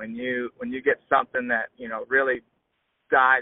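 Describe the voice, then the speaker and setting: A man with a Southern US accent, at a moderate pace. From US South, southeast Alabama. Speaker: agriculture social media creator and student. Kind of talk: casual interview.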